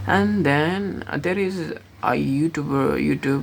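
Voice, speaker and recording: A woman at a very slow pace with a non-native accent, over noticeable background noise. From Nepal, born in India. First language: Nepali. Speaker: vlogger. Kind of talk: casual vlog monologue. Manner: halting, many fillers and restarts.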